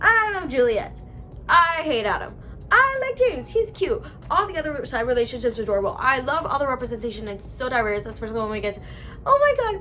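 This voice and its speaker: A woman speaks at a very fast pace in an animated tone. Noticeable background noise runs underneath. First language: Spanish. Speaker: booktuber. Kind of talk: casual review monologue.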